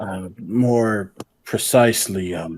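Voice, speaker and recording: A man's put-on character voice, mumbling, fairly low in pitch, with ordinary pitch variation. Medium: actual play. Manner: hesitant, mumbling.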